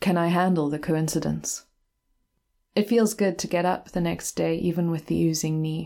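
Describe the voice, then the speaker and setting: A woman with a fairly low pitch and a dark, mellow tone speaks at a moderate pace with fairly even intonation, in a very clean recording with a silent background. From South Africa, KwaZulu-Natal. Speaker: writer and university lecturer. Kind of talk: reading aloud of personal essay.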